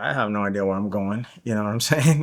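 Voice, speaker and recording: A man with a Spanish accent, a bright, sharp tone and fairly even intonation, on a very clean recording with a silent background. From Guatemala. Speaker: interview guest sharing life story. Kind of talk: podcast interview, personal testimony. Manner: casual, many fillers and repetitions.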